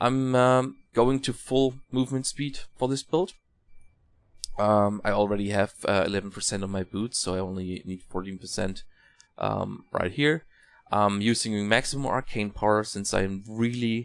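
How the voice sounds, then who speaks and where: This very clean recording has a silent background. A man speaks at a moderate pace in a fairly low pitch with ordinary pitch variation. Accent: non-native. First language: not English. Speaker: gaming content creator. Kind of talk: tutorial. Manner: halting, many fillers.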